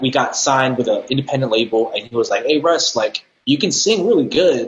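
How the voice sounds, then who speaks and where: This man talks at a moderate speed with a Californian accent. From San Jose, California. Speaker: R&B recording artist. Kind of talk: casual interview.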